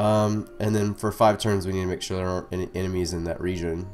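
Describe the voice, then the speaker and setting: A man speaks in a very deep, low voice with fairly even intonation. Music plays in the background. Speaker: strategy game let's player. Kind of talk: casual gameplay commentary tutorial.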